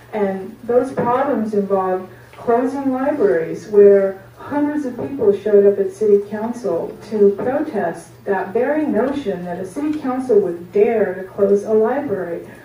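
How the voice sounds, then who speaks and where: The speech comes at a fairly slow pace with ordinary pitch variation, with audible room echo and light background noise. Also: woman. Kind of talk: meeting remarks. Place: meeting room. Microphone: camera far.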